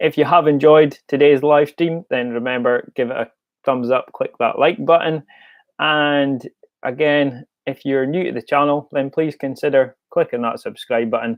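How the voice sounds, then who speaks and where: A Scottish accent at a moderate pace. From Scotland. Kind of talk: casual live-stream sign-off.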